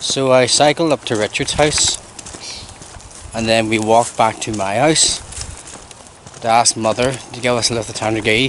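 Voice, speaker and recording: At a moderate pace, the speech comes through as a dry sound with no echo and light background noise. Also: man. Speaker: vlogger. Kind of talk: casual vlog chat. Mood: relaxed, jokey. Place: street. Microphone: phone near.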